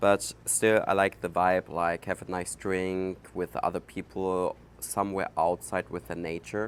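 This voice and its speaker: A man's very deep, low voice with a German accent, fairly slow with hardly any pauses and fairly even intonation. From Germany. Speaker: podcast host. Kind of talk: casual monologue. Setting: outdoors. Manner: halting, many fillers.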